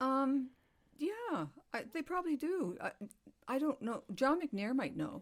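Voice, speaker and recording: Lively intonation in a Canadian Maritime accent at a fairly slow pace, with long, frequent pauses. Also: woman, high pitch for a woman. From New Brunswick, Canada. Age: 70s. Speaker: retired middle school teacher. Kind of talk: casual chat.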